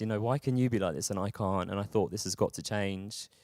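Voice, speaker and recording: A speaker with a London accent, recorded with a dry, close sound and no echo. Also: man, very clean recording, silent background. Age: 30s. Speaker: mental health campaigner. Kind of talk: talk. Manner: halting, many repetitions and fillers.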